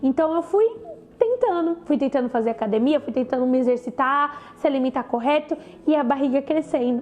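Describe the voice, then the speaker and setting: Over noticeable background noise, the voice shows ordinary pitch variation. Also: woman, high pitch for a woman, fairly quick pace. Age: 20s. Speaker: cancer survivor. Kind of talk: personal testimony talk to camera.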